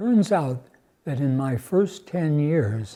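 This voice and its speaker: On a very clean recording with a silent background, a man with an American accent talks at a very slow pace. His voice is somewhat breathy, with a dark, mellow tone. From US Upper Midwest, Milwaukee, Wisconsin. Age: 90s. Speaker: retired churchgoer, Korean War era veteran. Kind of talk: oral history interview. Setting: cathedral. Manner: halting, with false starts.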